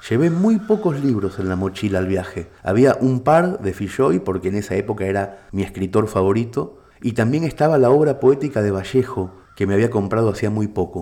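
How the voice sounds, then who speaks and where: Hardly pausing, a man with a fairly low pitch and a dark, mellow tone speaks with lively intonation. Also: moderate pace. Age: 40s. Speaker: writer and narrator. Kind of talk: scripted narration.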